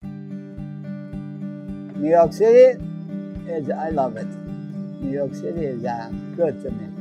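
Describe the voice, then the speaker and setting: With clear music in the background, a man talks very slowly in a high pitch with very wide swings, the sound itself dry with no echo. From Iran. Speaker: candy store owner. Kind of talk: interview answer. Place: shop.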